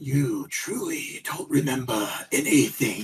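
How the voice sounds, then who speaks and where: A raspy, put-on character voice at a fairly slow pace. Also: man. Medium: actual play.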